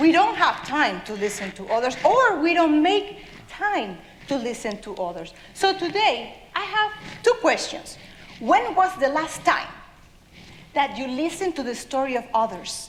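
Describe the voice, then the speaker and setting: Amid noticeable background noise, a woman with a South American accent speaks fairly slowly at a high pitch, with very wide pitch swings and big swings in loudness. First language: Spanish. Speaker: children's author. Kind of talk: talk to an audience.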